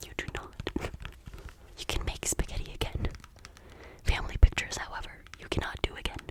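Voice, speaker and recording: A woman whispers in a relaxed tone at a moderate pace. There is noticeable background noise. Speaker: ASMR creator. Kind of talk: ASMR rambling to camera. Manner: whispered, soft, relaxed.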